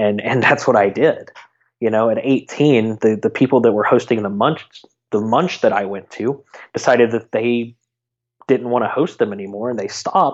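Speaking with ordinary pitch variation, the man has a medium pitch. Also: moderate pace. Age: 30s. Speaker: community event organizer. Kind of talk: casual interview chat. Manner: repeats words often, halting.

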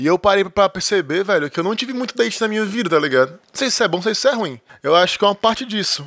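A man rattles along at a very fast pace, his intonation lively. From Brazil, Ceará. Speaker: podcast co-host. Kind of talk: casual chat. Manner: animated.

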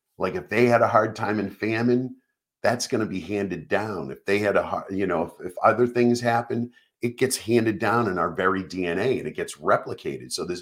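A man's animated voice at a medium pitch and a moderate pace. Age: 60s. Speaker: nurse and podcast host. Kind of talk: casual live stream monologue. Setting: live stream.

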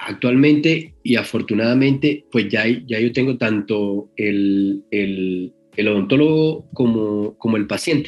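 A man speaks very slowly with ordinary pitch variation. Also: medium pitch for a man. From Colombia, Caribbean coast (Magdalena). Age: 40s. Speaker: anesthesiologist, sedation specialist. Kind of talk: interview. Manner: halting, many repetitions and fillers.

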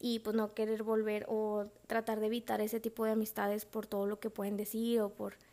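A woman speaks at a fairly quick pace with a fairly high pitch. Her dark, mellow tone stays monotone and flat. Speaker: podcast host. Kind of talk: casual monologue. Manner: laughs often.

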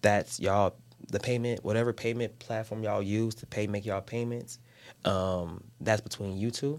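With an American accent and an unremarkable speaking voice, a man talks fairly quickly at a fairly low pitch, his intonation fairly even. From Chicago. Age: 30s. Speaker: entrepreneur, social media platform founder. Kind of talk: casual interview. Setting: studio.

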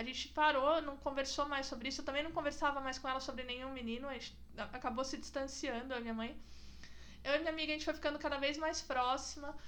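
A woman's high-pitched, bright, sharp voice at a fairly quick pace, with audible room echo. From São Roque, interior of São Paulo state, Brazil. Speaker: podcast host. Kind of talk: casual chat. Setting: in-person recording at home.

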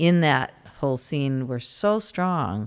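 A woman with an American accent, very deep and low in pitch, with lively intonation on a very clean recording with a silent background. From US Midwest (Indiana, Michigan). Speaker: musician. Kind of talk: casual interview chat. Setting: studio.

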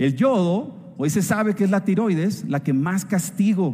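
His intonation moves in a lively way. The man speaks with a high pitch. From northern Mexico. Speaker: food scientist. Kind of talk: company event talk. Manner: animated.

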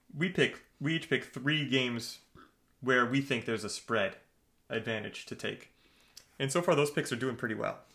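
Using a bright, sharp tone, a man speaks at a moderate pace with ordinary pitch variation and long, frequent pauses. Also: medium pitch for a man. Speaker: sports podcast co-host. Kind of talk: casual chat. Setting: sharing one mic in same room. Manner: loud.

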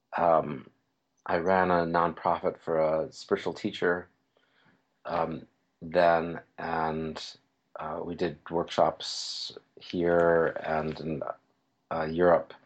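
A man with an American accent speaks in a very deep, low pitch at a very slow pace. His intonation is flat and monotone, broken by long, frequent pauses. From New York City. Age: 60s. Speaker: psychotherapist and teacher. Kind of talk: interview.

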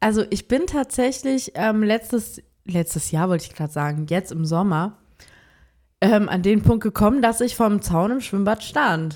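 A woman talks in an ordinary speaking voice at a medium pitch and moderate pace, with lively intonation. The recording is very clean, with a silent background. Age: 20s. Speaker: podcast co-host. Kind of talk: casual chat.

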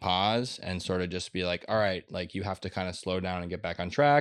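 Against a quiet background, a man with an American accent talks in an unremarkable speaking voice. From Minnesota, Minneapolis. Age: 30s. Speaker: writer and artist. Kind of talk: casual chat.

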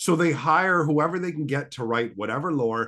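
An ordinary speaking voice moves at a fairly quick pace with lively intonation over a quiet background. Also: man. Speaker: podcast guest. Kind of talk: casual chat. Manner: joking, banter.

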